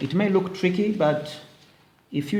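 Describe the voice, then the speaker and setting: Audible room echo follows a man as he talks at a very slow pace. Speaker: teacher. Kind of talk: tutorial.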